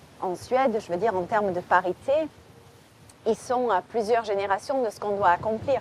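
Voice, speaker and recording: A woman speaks at medium pitch in a southern French accent. She takes long, frequent pauses. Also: ordinary pitch variation, moderate pace. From southern France, Marseille. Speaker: crime novelist. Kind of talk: interview. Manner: hesitant, many fillers.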